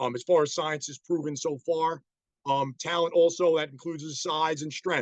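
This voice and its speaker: With a New York accent, a man speaks at a moderate pace in a fairly high pitch, his intonation monotone and flat, and the sound is dry and close with no echo. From New York City. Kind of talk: online presentation. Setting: video call. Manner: casual, many fillers.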